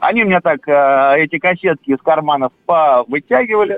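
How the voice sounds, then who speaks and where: Delivered at a fairly slow pace, the speech shows very wide pitch swings. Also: man. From Moscow region (Lyubertsy). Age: 40s. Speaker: caller. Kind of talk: phone-in storytelling.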